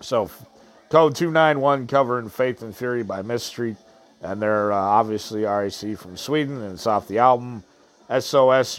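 In an unremarkable speaking voice, a man talks at a moderate pace with a medium pitch and ordinary pitch variation. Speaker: podcast host. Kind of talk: angry rant; casual show hosting, music intros. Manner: loud, furious, swearing.

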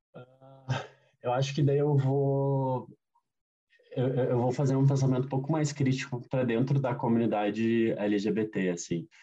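With a dark, mellow tone and a somewhat breathy quality, a man talks at a fairly slow pace. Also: medium pitch for a man, ordinary pitch variation. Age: 30s. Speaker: diversity consultant. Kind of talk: interview. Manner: hesitant, many fillers.

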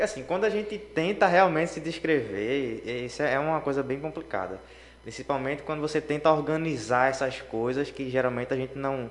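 With a plain, everyday voice, a man speaks at a fairly quick pace, his fairly high pitch carrying lively intonation. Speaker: psychology student. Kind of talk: casual chat. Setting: radio studio.

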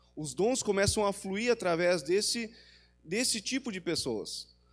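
There is music in the background as a man talks. His pace is fairly slow and his pitch variation is ordinary. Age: 40s. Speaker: preacher. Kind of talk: sermon.

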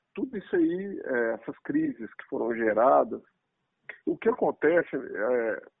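The pace is fairly slow. A man is doing the talking. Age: 40s. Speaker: engineer and business executive. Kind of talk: interview.

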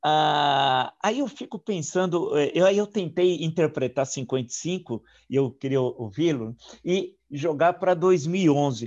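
A man's fairly high voice, very slow and with lively intonation, against a quiet background. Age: 60s. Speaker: historian and interviewer. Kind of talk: interview. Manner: halting.

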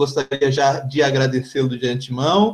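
A man with a somewhat breathy voice. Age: young. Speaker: podcast host. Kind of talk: interview.

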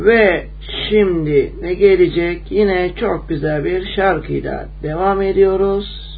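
The background carries noticeable noise. Through it, a man talks at a very slow pace. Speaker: radio host. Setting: radio studio, live broadcast.

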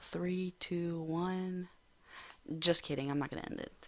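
A woman with a normal speaking voice talks at a fairly slow pace and a fairly low pitch. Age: 20s. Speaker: podcast host. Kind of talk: casual monologue.

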